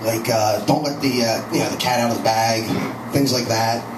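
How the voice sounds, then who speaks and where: A man rattles along at a very fast pace against noticeable background noise. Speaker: stand-up comedian. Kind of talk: stand-up comedy routine. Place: cafe.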